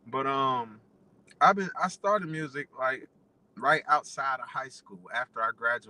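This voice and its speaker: Speaking with an American accent at a fairly slow pace, a man with a fairly high pitch and a bright, sharp tone makes big swings in loudness. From Dayton, Ohio. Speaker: rapper. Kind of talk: radio interview. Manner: casual, hesitant with fillers.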